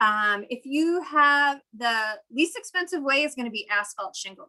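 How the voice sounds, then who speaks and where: With a bright, sharp tone, a woman uses a raised, projected voice at a high pitch, her pitch swinging very widely. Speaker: city solar program presenter. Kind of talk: webinar presentation. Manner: fast.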